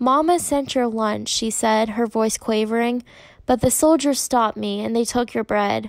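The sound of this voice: The pitch varies ordinarily in this unforced reading voice.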